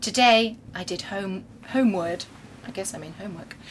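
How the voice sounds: Her pitch sits at a medium level, varies in an ordinary way, and the woman moves along at a moderate pace.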